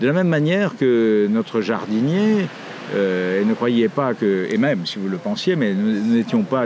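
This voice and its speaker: A man speaks at a moderate pace and medium pitch, with noticeable background noise. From Morocco (Casablanca), French parents. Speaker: writer. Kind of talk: interview monologue. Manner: hesitant, many fillers.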